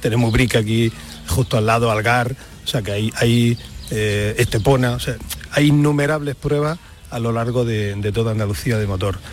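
A man with a medium-pitched voice talks at a moderate pace over noticeable background noise. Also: ordinary pitch variation. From Almería, Andalusia, Spain. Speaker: motorsport event organizer. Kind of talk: radio interview.

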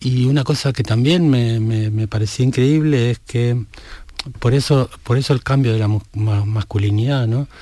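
A man at medium pitch with a dark, mellow tone and fairly even intonation, at a fairly slow pace in a very clean recording with a silent background. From Argentina, small town. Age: 60s. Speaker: novelist. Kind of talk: interview. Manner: halting.

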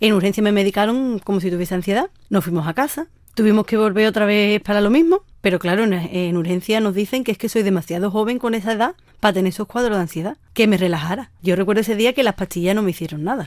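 At a very fast pace, a woman talks with a medium pitch and ordinary pitch variation. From Andalusia, Sanlúcar de Barrameda (Cádiz). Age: 20s. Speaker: university student with rare diseases. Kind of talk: personal testimony interview.

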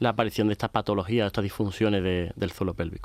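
A man with a fairly low pitch, very fast delivery and fairly even intonation, in a dry, close sound with no echo. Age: young. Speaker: gynecologist. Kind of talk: expert interview.

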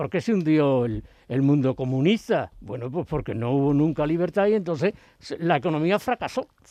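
This speaker has a dark, mellow tone and lively intonation, talking at a moderate pace. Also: man. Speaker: academic commentator. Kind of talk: casual chat.

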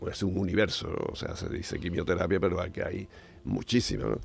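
At a fairly quick pace, a man speaks with vocal fry and ordinary pitch variation. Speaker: science commentator, professor. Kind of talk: casual radio chat.

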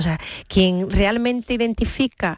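Here is an ordinary speaking voice with ordinary pitch variation at a fairly slow pace. The recording is very clean, with a silent background. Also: woman. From Seville, Andalusia, Spain. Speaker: charity regional president, nurse. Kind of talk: radio interview.

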